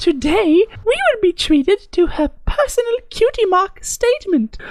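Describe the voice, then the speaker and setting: In a squeaky, put-on character voice with an extremely high pitch, the speaker talks at a moderate pace. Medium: read story. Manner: formal, reading aloud.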